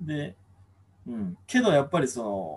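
Somewhat breathy, a man's voice sits at a fairly high pitch and makes very wide pitch swings. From Kumamoto, Japan. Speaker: former local newspaper reporter. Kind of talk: casual chat. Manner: many fillers.

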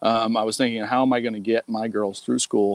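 A man with monotone, flat intonation in a dry, close sound with no echo. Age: 50s. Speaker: online marketing student. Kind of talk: casual interview.

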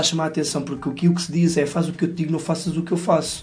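Flat and monotone, a man's fairly high voice with a dark, mellow tone races along at a very fast pace over audible room echo. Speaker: podcast co-host. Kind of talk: casual comedic chat.

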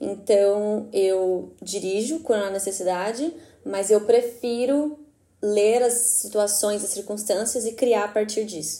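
A woman speaks very slowly in a Brazilian accent. Her medium-pitched voice has a dark, mellow tone. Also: ordinary pitch variation. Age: 20s. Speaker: photographer. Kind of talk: casual interview chat.

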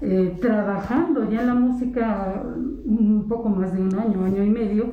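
In a room with audible echo and noticeable background noise, a woman speaks very slowly at a fairly high pitch with fairly even intonation. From Mexico, San Joaquín, Querétaro Sierra. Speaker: huapango musician and cultural promoter. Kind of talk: interview. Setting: house of culture, recorded on location.

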